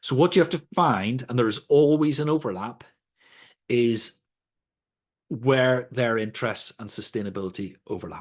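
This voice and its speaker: Over a quiet background, a man with a Northern Irish accent speaks at a moderate pace and a medium pitch, with lively intonation. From Northern Ireland. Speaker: sustainability trainer. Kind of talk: lecture. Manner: conversational.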